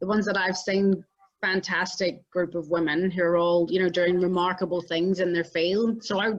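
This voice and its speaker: A woman speaks in a Northern Irish accent. Her pitch is medium and her pace moderate. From Northern Ireland. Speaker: entrepreneur and inventor. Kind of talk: interview. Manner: calm.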